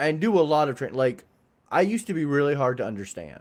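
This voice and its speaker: A man with a fairly high pitch speaks at a fairly quick pace, his intonation lively. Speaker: podcast co-host. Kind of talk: casual chat. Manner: learned DJ-style projected voice.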